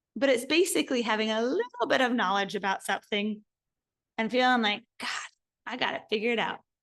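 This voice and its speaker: A woman speaks at a fairly quick pace and fairly high pitch, her tone animated and her intonation lively. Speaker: spiritual course teacher. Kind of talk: online course lecture.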